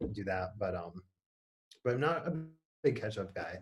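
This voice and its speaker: A man talks with an Upper Michigan accent at a fairly low pitch. His voice is somewhat breathy and his pace fairly quick. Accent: Yooper accent, noticed on certain words. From Upper Peninsula of Michigan, Kingsford. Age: young. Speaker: priest. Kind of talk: casual interview chat. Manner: halting, many fillers and repeats.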